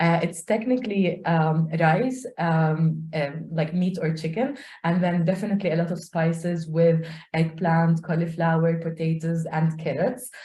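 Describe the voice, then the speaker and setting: A woman's dark, mellow tone comes through with some breathiness, a fairly slow speed and ordinary pitch movement. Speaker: community learning coordinator. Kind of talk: self-introduction in online meeting.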